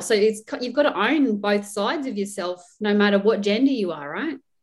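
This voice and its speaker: A woman is talking at a fairly quick pace. Her pitch varies in an ordinary way. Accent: Australian. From Australia, rural. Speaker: podcast host, nurse. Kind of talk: casual interview chat.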